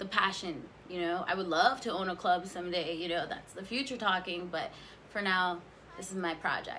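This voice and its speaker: The woman's pitch varies in an ordinary way as she talks at a moderate pace. Behind her sits light background noise. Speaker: cannabis vlogger. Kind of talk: casual vlog chat.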